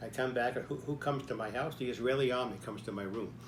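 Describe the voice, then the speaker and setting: A man talks at a very fast pace with vocal fry and ordinary pitch variation. Audible room echo surrounds his voice. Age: 90s. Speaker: army veteran and author. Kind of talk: personal storytelling. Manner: conversational, frequent "okay?" fillers.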